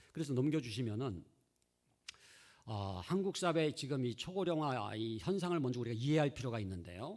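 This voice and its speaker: Using a normal speaking voice, a man speaks at medium pitch with lively intonation. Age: 60s. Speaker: seminary professor, church education expert. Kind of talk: lecture.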